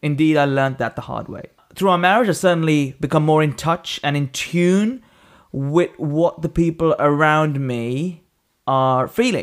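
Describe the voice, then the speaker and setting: The recording is very clean, with a silent background. A man with a plain, everyday voice speaks fairly slowly at a fairly high pitch with ordinary pitch variation. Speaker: podcast host. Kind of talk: casual chat.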